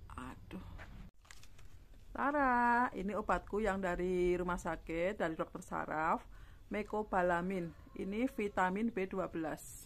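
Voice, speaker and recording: The pace is very slow. A woman speaks with pitch that rises and falls in an ordinary way. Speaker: stroke survivor vlogger. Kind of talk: casual vlog answering viewer comment. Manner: halting, with many fillers.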